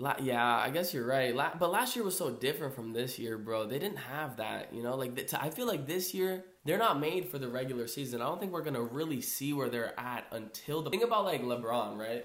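A man's animated, medium-pitched voice, lively in intonation, fairly quick and nearly pause-free, with audible room echo and noticeable background noise. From Brazil. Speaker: podcast co-host. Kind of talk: casual chat.

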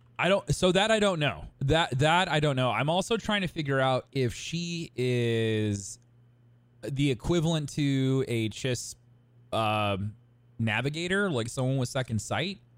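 Using a normal speaking voice, a man with a fairly high pitch talks at a fairly slow pace with lively intonation. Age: 30s. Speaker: podcast co-host. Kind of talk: casual chat. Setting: live stream with chat.

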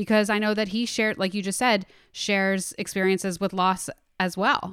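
The recording is very clean and the background silent. An unremarkable speaking voice moves at a moderate pace. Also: woman. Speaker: podcast host. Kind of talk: casual interview chat.

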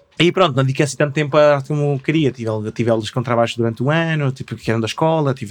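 Speaking very fast, a man keeps to a medium pitch. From Chile, Patagonia (Punta Arenas area). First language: Spanish (speaking Portuguese). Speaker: artist and craftsman. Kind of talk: casual interview chat. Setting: studio.

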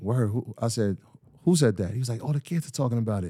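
Someone with a New York accent speaks at a fairly quick pace in a very clean recording with a silent background, the sound dry and close with no echo. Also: man. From Greenburgh, Westchester, New York. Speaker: financial literacy entrepreneur. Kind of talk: casual interview. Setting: home studio.

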